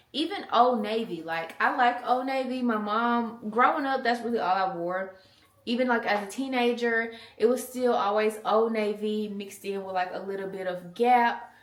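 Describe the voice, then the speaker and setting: At a moderate pace, the speaker sounds animated with ordinary pitch variation, over noticeable background noise and audible room echo. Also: woman. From US South. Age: 20s. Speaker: mom vlogger. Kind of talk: casual chat. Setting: in a car.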